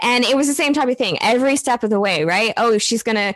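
A woman's high-pitched voice at a fairly quick pace amid noticeable background noise. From US Midwest. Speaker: copywriter and marketing business owner. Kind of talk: casual interview.

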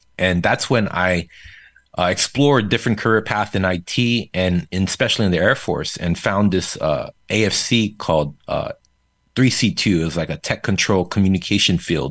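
The speaker has a Korean accent and ordinary pitch variation. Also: man, fairly low pitch for a man, moderate pace. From South Korea. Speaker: startup founder and entrepreneur. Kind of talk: casual interview.

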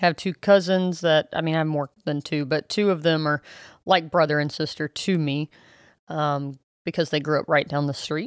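In a Southern US accent, a voice speaks at a moderate pace with fairly even intonation, dry and close with no echo, on a very clean recording with a silent background. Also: woman, very deep, low pitch for a woman. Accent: Southern US (Georgia). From US South, South Georgia. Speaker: podcast co-host. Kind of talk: casual chat.

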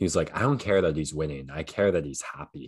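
A man's very deep, low voice with vocal fry and a Canadian accent. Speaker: podcast co-host, sports. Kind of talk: casual chat, sports commentary.

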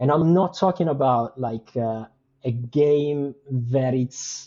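A man with a non-native accent, medium-pitched, with ordinary pitch variation. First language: not English. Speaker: game and NFT project creator. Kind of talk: casual interview chat. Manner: halting, many fillers.

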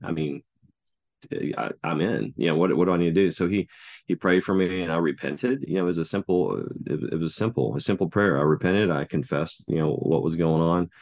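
A man with a Texan accent speaks at a very deep, low pitch with vocal fry and lively intonation, at a fairly quick pace. The sound is dry and close with no echo, against a quiet background. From Texas, Denton. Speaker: children's minister. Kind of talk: interview conversation. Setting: call. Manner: halting.

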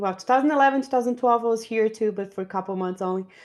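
A woman speaks at a very fast pace with a Portuguese accent. The background is quiet. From Brazil. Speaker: podcast host. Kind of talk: casual chat. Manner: joking, laughs often.

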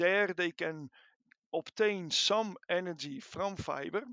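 Ordinary pitch variation and a fairly slow pace, in a Dutch accent. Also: man. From Netherlands. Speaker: animal science researcher. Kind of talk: interview. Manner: halting, many fillers.

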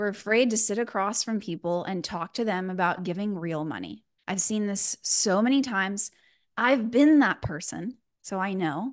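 A woman with a slight Texan accent talks at a moderate pace in an animated tone, her medium pitch showing ordinary variation over a quiet background. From Texas, Houston. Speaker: fundraising coach. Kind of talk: live masterclass.

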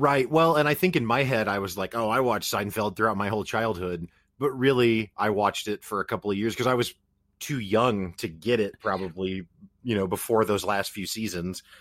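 Recorded very cleanly against a silent background, a man with an American accent has a fairly low pitch and an ordinary speaking voice. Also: ordinary pitch variation, fairly quick pace. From US Midwest, Springfield, Missouri. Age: 30s. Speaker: podcast host. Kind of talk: casual chat.

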